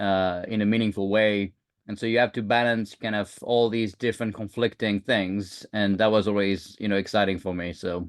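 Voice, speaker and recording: The delivery is flat and monotone at a moderate pace. There are hardly any pauses. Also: man, fairly low pitch for a man. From France. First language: French. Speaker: security leader and tech founder. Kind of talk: podcast interview. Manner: hesitant, many fillers.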